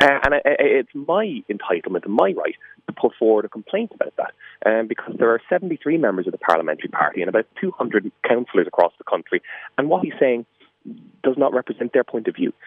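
There's a man speaking here with an Irish accent. He goes at a fairly quick pace. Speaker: politician. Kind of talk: radio interview. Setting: phone call.

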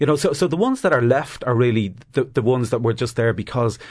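A man talks with an Irish accent against a quiet background. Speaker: activist group chairman. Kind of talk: panel discussion.

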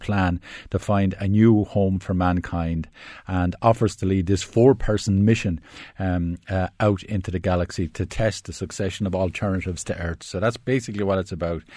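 In a very clean recording with a silent background, a man with a Wexford accent speaks at a moderate pace, his tone dark and mellow, his pitch fairly low and his intonation fairly even. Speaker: film critic. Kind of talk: casual chat. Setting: studio. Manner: hesitant, many fillers.

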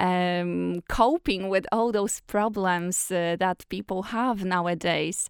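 Recorded very cleanly with a silent background and a dry, close sound with no echo, a woman with a Polish accent speaks very slowly at a medium pitch with fairly even intonation. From Poland. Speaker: actress. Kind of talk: interview.

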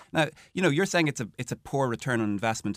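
A man with a Dublin accent, very wide pitch swings, dry close sound with no echo, and a very clean recording over a silent background. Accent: Dublin Irish. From Ireland, Dún Laoghaire (Dublin). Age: 40s. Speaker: local politician. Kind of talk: radio panel discussion. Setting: studio.

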